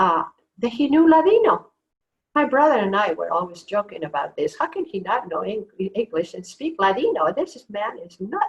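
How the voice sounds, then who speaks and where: A woman with a Spanish accent speaks at a moderate pace in a fairly high pitch. Her pitch swings very widely, and her loudness rises and falls sharply. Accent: Spanish accent, noticeable. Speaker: author. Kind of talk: author talk. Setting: video call.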